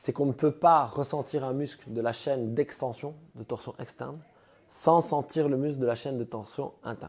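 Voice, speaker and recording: With a strong Liège accent, a man speaks at a moderate pace and medium pitch, with ordinary pitch variation. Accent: strong Liège Belgian French. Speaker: CrossFit coach. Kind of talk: coaching session. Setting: gym.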